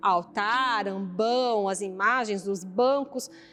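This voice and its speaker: A woman speaks with lively intonation. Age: 30s. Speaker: parish council coordinator. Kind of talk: interview.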